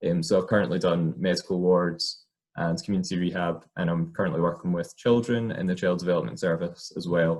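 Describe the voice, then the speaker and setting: In a Scottish accent, a man speaks with a very deep, low pitch. His pace is fairly quick, and his pitch variation is ordinary. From Scotland, small rural town. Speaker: occupational therapist. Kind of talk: personal career talk. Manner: hesitant, many fillers.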